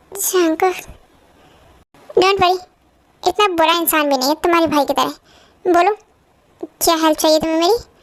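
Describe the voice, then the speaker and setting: A woman performs a put-on character voice at an extremely high pitch. She keeps a moderate pace with ordinary pitch variation. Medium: fan dub. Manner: curt, commanding.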